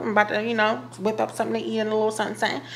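A woman is talking. There is light background noise. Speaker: vlogger. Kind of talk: casual vlog chat. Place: kitchen. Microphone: phone near.

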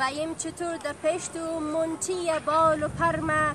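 Recorded dry with no echo but with noticeable background noise, a woman speaks at a fairly slow pace in a high voice. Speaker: poetry reciter. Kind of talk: poetry reading. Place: open country.

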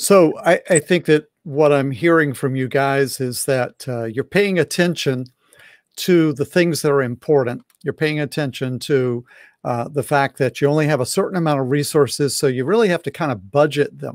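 A man with a fairly high pitch and an American accent, at a moderate pace with ordinary pitch variation, in a dry sound with no echo against a quiet background. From US South. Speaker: pastor and marriage coach; pastor, marriage coach. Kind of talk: online talk and interview. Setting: live video stream. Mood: warm, calm, caring. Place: home room.

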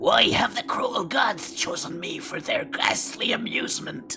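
A man puts on a guttural character voice at an extremely high pitch, talking at a moderate pace. Clear music plays in the background. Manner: uneasy, ominous.

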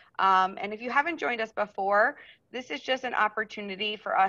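A woman's bright, sharp voice at a moderate pace with ordinary pitch variation, over a quiet background. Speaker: teacher hosting a parent meeting. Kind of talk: meeting introduction. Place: home room. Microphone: video call.

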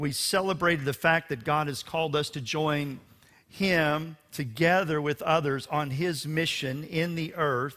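The tone is bright and sharp, delivered at a fairly slow pace. The background is quiet. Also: man. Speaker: pastor. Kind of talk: sermon. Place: church. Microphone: headset.

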